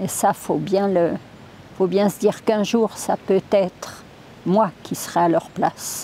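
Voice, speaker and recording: A woman speaks at a fairly slow pace with medium pitch and fairly even intonation. Noticeable background noise can be heard. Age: 90s. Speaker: nursing home chaplain. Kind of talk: testimony.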